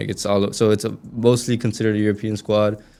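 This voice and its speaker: A man with a Spanish accent, dark and mellow in tone, monotone and flat in intonation, at a fairly quick pace, on a very clean recording with a silent background. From US, raised American. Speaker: college soccer player. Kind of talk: podcast interview.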